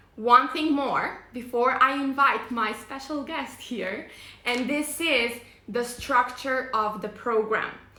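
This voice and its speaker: With a non-native accent, a woman speaks at a high pitch and a fairly slow pace, her intonation fairly even amid audible room echo. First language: not English. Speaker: face yoga teacher. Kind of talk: live stream presentation. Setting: live online video stream. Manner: hesitant, many fillers.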